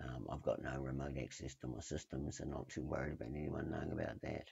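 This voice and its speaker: A man speaks with a very deep, low voice and some vocal fry. His intonation stays fairly even. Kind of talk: casual tech screencast walkthrough. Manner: hesitant, many filler words.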